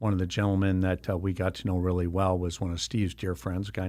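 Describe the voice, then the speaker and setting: A man with an American accent speaks at a very deep, low pitch with fairly even intonation. The recording is very clean, with a silent background. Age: 60s. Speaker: winery owner. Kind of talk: interview. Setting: studio. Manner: many filler words and hesitations.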